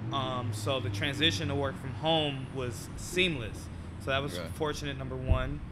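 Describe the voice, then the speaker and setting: Through noticeable background noise, a man talks at a moderate pace. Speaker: podcast guest. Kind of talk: interview answer. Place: cafe. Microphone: studio mic.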